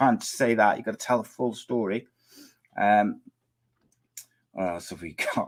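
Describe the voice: A man puts on a character voice that is hoarse and raspy, at a medium pitch and a moderate pace. He leaves long, frequent pauses, and his loudness swings widely.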